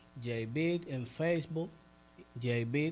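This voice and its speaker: Fairly high for a man, his voice has a dark, mellow tone and fairly even intonation. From Dominican Republic, San Pedro de Macorís. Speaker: rapper. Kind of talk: interview.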